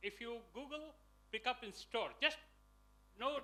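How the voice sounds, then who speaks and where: A man speaks fairly slowly in a raised, projected voice. His tone is bright and sharp. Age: 60s. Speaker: entrepreneur. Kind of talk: personal story pitch.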